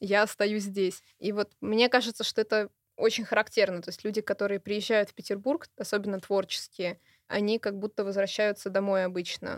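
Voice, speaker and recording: A normal speaking voice from a woman at medium pitch and moderate pace, dry and close with no echo. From Saint Petersburg, Russia. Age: 20s. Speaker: art historian and curator. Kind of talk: radio interview. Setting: studio.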